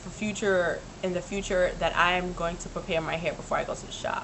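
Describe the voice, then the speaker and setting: A woman talks at a moderate pace while background noise is noticeable. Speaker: vlogger. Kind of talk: casual vlog chat. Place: home room. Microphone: webcam.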